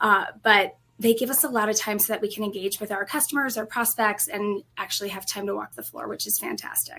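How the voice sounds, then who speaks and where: A woman with a slight Colorado accent speaks at a fairly quick pace with hardly any pauses. Her fairly high voice has a bright, sharp tone, vocal fry, and ordinary pitch variation. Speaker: restaurant industry training executive. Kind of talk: interview.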